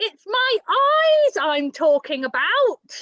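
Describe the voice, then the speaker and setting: Bellowing in an extremely high-pitched put-on character voice, a woman speaks at a very slow pace with very wide pitch swings. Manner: roaring, angry.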